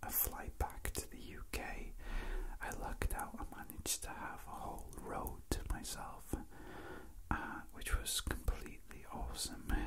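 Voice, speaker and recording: Spoken at a fairly slow pace over loud background noise. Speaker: asmr creator. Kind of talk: soft spoken ramble. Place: train.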